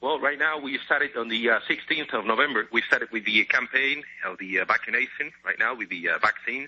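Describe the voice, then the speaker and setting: Speaking fairly quickly with a Spanish accent, a man at medium pitch barely pauses and keeps ordinary pitch variation. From Spain. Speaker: caller, airline pilot. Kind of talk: call-in to radio show. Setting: phone call. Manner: halting, many fillers.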